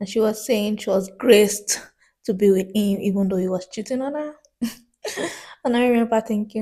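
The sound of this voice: At a moderate pace, a woman speaks with medium pitch. Her tone is dark and mellow, and her intonation fairly even.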